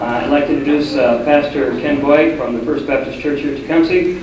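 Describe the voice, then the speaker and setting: A man speaks at a fairly quick pace with fairly even intonation. Audible room echo and noticeable background noise fill the recording. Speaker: banquet emcee. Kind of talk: event announcements. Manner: getting louder.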